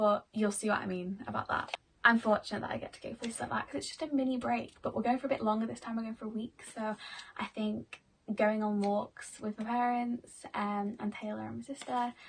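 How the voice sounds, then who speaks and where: A woman speaks with a British accent at a fairly high pitch. Her pace is fairly quick and her intonation fairly even. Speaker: vlogger and dancer. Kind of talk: casual vlog talk. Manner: loud; chatty, many fillers.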